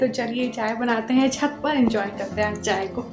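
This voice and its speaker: Over clear background music, a woman speaks at a moderate pace in a high pitch with ordinary pitch variation. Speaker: home vlogger. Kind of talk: casual vlog chat. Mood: cheerful, enjoying the weather.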